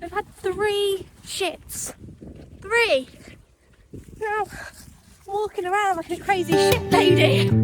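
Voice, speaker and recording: Noticeable background noise sits behind a woman talking in an English accent. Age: 20s. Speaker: lifestyle vlogger. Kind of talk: casual vlog talk to camera.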